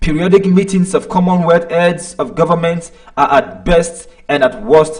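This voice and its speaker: A man with a Nigerian accent speaks at a fairly slow pace in a high voice. There is noticeable background noise. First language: Nigerian language. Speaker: online commentator. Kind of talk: live stream commentary. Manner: hesitant, many fillers.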